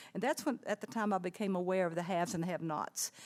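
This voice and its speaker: Here a woman talks with an American accent. Her pace is fairly quick. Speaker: retired teacher. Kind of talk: life story talk. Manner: fast.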